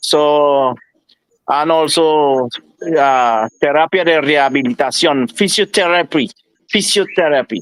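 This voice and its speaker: With a strong Spanish accent, a man with a fairly high voice speaks fairly slowly, leaving long, frequent pauses, in a dry, close sound with no echo. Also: ordinary pitch variation. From Venezuela. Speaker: doctor. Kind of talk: online panel discussion. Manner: halting.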